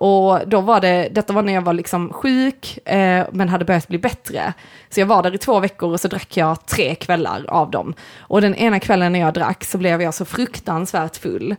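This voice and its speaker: In a normal speaking voice, a woman talks at medium pitch and a moderate pace with ordinary pitch variation. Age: 30s. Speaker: podcast co-host and artist. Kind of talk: casual chat.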